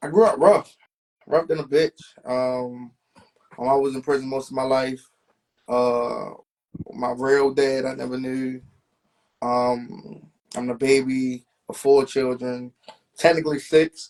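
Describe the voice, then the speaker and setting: A man speaks at a medium pitch with ordinary pitch variation. He leaves long, frequent pauses. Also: fairly slow pace. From Baltimore, West Baltimore. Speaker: rapper. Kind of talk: interview.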